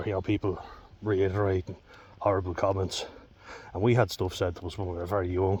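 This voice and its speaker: Fairly quick, somewhat breathy speech comes from a man with a very deep, low pitch. His intonation is monotone and flat. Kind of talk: casual talk to camera. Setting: outdoors.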